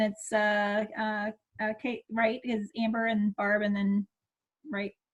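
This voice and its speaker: Speaking in an American accent, a woman uses a fairly high, somewhat breathy voice. Her pace is fairly slow and her intonation monotone and flat. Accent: Minnesota accent, per others. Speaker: direct sales consultant. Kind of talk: casual group video chat introduction. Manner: hesitant with many fillers.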